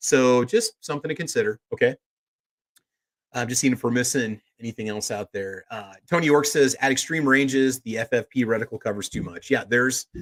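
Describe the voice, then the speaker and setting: A normal speaking voice with an American accent goes at a fairly quick pace with ordinary pitch variation, recorded with a dry, close sound and no echo. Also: man, medium pitch for a man. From US South. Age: 40s. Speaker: podcast host. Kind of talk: live podcast panel chat. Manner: casual, conversational.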